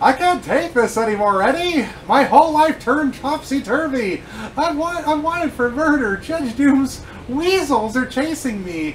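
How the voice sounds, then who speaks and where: A man's put-on character voice at an extremely high pitch, over clear background noise. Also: moderate pace. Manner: panicked, exasperated, zany.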